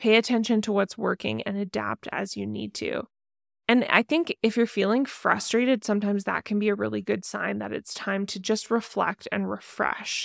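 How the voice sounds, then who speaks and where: A woman talks at a moderate pace, and the sound is dry and close with no echo. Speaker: podcast host and founder. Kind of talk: pep talk, solo monologue. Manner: conversational, with filler words and self-corrections.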